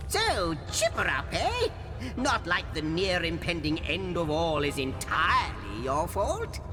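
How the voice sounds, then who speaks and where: This is a put-on character voice at a fairly slow pace. Loud background noise runs underneath it. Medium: machinima. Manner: archaic, florid.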